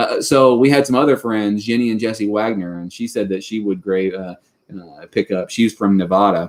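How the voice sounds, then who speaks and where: A man with a Kentucky accent speaks at a moderate pace, his pitch fairly low with ordinary variation. The recording is very clean, with a silent background. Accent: Kentucky Southern US. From Western Kentucky. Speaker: homesteading YouTuber. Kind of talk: live stream chat.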